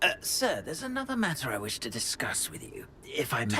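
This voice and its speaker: Fairly quick delivery in a put-on character voice. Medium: machinima. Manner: courteous, hesitant.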